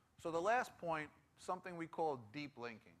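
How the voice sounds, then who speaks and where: With a New York accent, a man speaks in a bright, sharp tone at a moderate pace. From New York City (Bronx). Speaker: tech conference speaker. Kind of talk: conference presentation.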